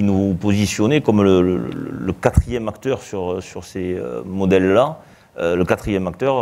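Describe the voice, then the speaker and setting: Very deep, low pitch from a man, dark and mellow in tone, with lively intonation at a moderate pace. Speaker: association president. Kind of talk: live televised interview. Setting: live broadcast before an audience. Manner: loud; hesitant, many fillers.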